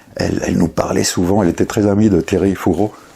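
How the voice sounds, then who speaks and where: There is noticeable background noise. A man speaks through it. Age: 60s. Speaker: writer. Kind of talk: personal recollection interview. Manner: halting, many repetitions and fillers.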